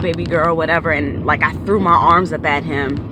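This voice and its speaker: A woman with an American accent, noticeable background noise and audible room echo. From Maryland, US. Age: 30s. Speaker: YouTuber and tarot reader. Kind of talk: personal storytelling vlog. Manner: casual, with frequent fillers.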